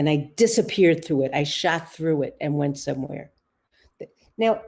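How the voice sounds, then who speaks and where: Speaking in a New York accent, a woman has a very deep, low pitch. Her intonation is lively and her pace moderate. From US, New York City (the Bronx). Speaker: author and psychotherapist. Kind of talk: interview, personal storytelling.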